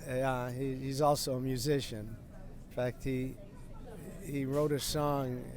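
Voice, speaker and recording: Fairly slow, monotone, flat speech from a man at medium pitch with an American accent, long, frequent pauses and audible room echo. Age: 80s+. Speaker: grocery store owner. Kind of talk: casual interview. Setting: inside his grocery market. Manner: halting, repeats words.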